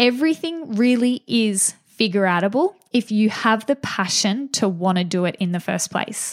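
With an upbeat tone and lively intonation, a woman at a fairly high pitch talks at a moderate pace with hardly any pauses, in a dry, close sound with no echo. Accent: Australian. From Australia, regional New South Wales. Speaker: podcast host, small business coach and photographer. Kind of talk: solo podcast monologue.

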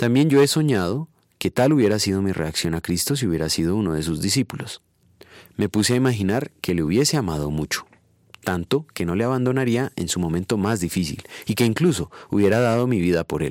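In a very clean recording with a silent background and a dry, close sound with no echo, a man with a fairly low pitch talks at a fairly quick pace with very wide pitch swings. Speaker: preacher. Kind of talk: devotional sermon ending in a prayer. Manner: solemn, earnest, formal; measured, reverent, pastoral.

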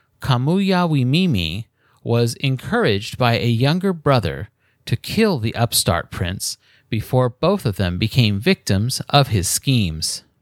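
A man with a medium-pitched voice speaks at a fairly slow pace with very wide pitch swings, on a very clean recording that sounds dry and close with no echo and a silent background. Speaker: podcast host and history narrator. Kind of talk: history documentary narration, scripted storytelling of myth and legend. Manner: measured, even, formal storyteller pacing.

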